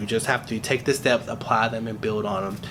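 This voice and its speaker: Noticeable background noise fills the clip. A man speaks through it. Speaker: YouTuber sharing business credit journey. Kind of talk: casual vlog talk to camera. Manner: fast.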